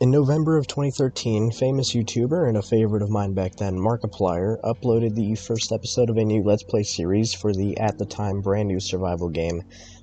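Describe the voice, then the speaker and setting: Speaking fairly quickly with ordinary pitch variation, a man with a fairly low pitch is heard over noticeable background noise. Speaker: gaming video essayist. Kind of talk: video essay narration. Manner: casual, informal.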